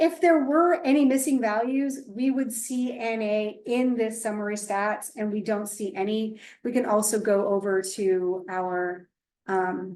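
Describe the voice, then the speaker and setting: A woman talks in a plain, everyday voice at a fairly high pitch. Her pace is fairly slow, with ordinary pitch variation. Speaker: statistics instructor. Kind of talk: tutorial.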